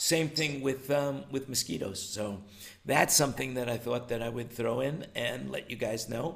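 A man's normal speaking voice at medium pitch and a moderate pace, with ordinary pitch variation. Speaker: show host. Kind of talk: casual roundtable discussion. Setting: video call livestream. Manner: talkative, repeats words, chatty.

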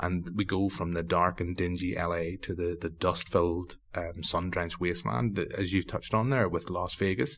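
A man with a very deep, low pitch and a Northern Irish accent, moderate pace, ordinary pitch variation, and hardly any pauses, on a very clean recording with a silent background. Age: 30s. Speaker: podcast host. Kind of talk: casual chat.

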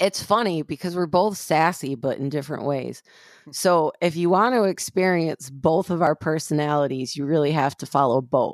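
A woman with an American accent speaks at a moderate pace in a very deep, low pitch for a woman, with ordinary pitch variation and a dry, close sound with no echo. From Flint, Michigan, US Midwest. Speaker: author and podcast co-host. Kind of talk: casual chat, podcast interview.

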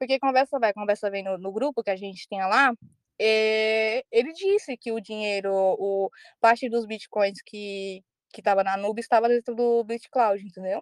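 Against a quiet background, a woman with an ordinary speaking voice talks at a moderate pace with fairly even intonation and big swings in loudness, the sound dry and close with no echo. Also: fairly high pitch for a woman. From Ceará, Brazil. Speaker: crypto P2P trader. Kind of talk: casual chat.

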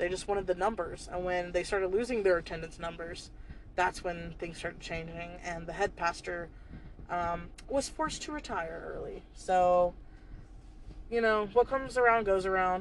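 A woman with an American accent and an unremarkable speaking voice, medium pitch, ordinary pitch variation and moderate pace. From US South. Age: 20s. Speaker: podcast host's sister. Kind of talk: casual chat. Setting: in a car.

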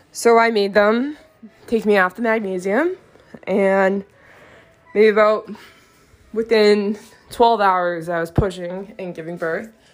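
Ordinary pitch variation and a fairly slow pace, with big swings in loudness, long, frequent pauses and noticeable background noise. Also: woman, medium pitch for a woman. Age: 20s. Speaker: podcast host, beauty consultant. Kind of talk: personal monologue. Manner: frequent filler words (um).

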